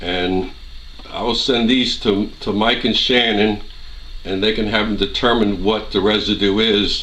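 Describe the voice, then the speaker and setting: A man with a fairly low pitch and a monotone, flat delivery, amid audible room echo and noticeable background noise. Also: fairly slow pace. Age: 60s. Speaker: gun owner doing a residue test. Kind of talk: tutorial.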